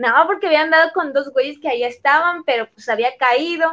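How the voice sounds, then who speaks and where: This woman's tone is bright and sharp. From Mexico, Chiapas. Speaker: visual artist. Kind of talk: casual chat.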